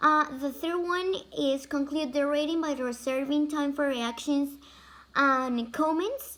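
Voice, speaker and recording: In a Spanish accent, a woman with a high pitch speaks at a moderate pace with fairly even intonation. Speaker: language student. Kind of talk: class presentation. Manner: halting, many fillers.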